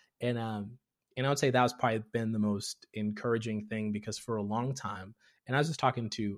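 On a very clean recording with a silent background, a man with an American accent speaks at a fairly quick pace in an unremarkable speaking voice, fairly low in pitch with fairly even intonation. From Tanzania, raised partly there and in US. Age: 30s. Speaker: comedian and content creator. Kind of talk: casual interview chat.

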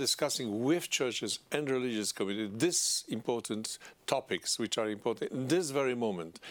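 A man with a Polish accent and lively intonation, in a very clean recording over a silent background. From Poland. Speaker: politician. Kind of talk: interview. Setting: studio. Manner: halting.

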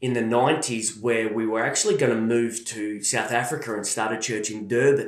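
The speaker has an Australian accent. Room echo can be heard. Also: man. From Australia, Melbourne. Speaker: church leader. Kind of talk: interview testimony.

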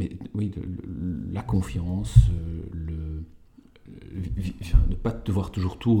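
Very slow and somewhat breathy, a man speaks with a very deep, low pitch. His tone is dark and mellow. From Belgium, Walloon Brabant. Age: 40s. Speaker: improv performer and social entrepreneur. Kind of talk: interview. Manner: halting, many fillers and repetitions.

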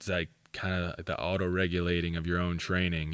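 In a very clean recording with a silent background, a man with an American accent and a very deep, low pitch talks at a fairly quick pace. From Pennsylvania, Schuylkill County. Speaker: powerlifting coach and gym owner. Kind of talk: casual interview chat.

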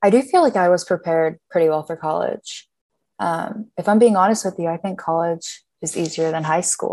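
With an ordinary speaking voice and an American accent, a woman talks at a fairly low pitch with ordinary pitch variation. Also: moderate pace. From Pittsburgh, US. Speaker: college student. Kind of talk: interview.

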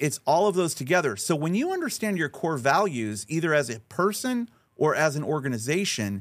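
Over a silent background in a very clean recording, a man with an ordinary speaking voice talks at a fairly quick pace with lively intonation. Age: 50s. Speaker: strategist and speaker. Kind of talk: interview. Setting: studio.

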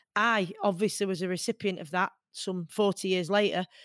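In a Manchester accent, a woman speaks with monotone, flat intonation in a dry, close sound with no echo and a quiet background. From Hyde, Greater Manchester. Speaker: boxer, radio presenter and equality campaigner. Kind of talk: interview conversation.

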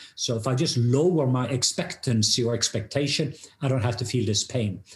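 Somewhat breathy, a man talks at a fairly quick pace in a medium pitch. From Norway. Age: 50s. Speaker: pastor and international speaker. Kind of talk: testimony.

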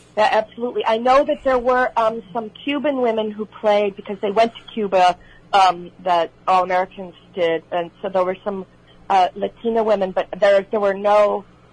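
In a Chicago accent, a woman speaks at a moderate pace, her medium pitch showing ordinary variation. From Illinois, Chicago area. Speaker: actress. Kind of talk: radio interview.

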